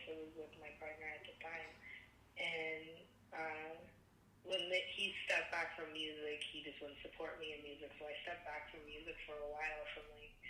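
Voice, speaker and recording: A woman's very deep, low voice at a moderate pace, flat and monotone, with big swings in loudness and audible room echo. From Canada, Alberta. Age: 30s. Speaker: singer. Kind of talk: interview. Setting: phone call.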